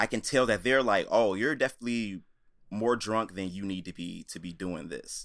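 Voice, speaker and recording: A man with an American accent and an unremarkable speaking voice talks at a moderate pace in a medium pitch, with ordinary pitch variation and big swings in loudness, in a very clean recording with a silent background. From Chicago area, US Midwest. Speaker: musician. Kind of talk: casual chat.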